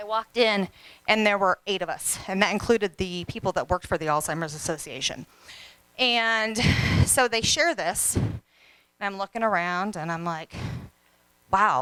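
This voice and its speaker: Loud and energetic, a woman speaks at a moderate pace with medium pitch, ordinary pitch variation and a bright, sharp tone. Her pauses are long and frequent, and the sound is dry and close with no echo. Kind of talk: motivational talk. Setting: stage with audience.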